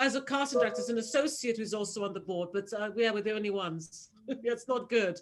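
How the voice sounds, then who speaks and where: A voice in a British accent races at a very fast pace with hardly any pauses. Its pitch variation is ordinary. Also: woman, fairly high pitch for a woman. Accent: proper British. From Nigeria, schooled in Britain. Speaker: casting director. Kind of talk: casual chat.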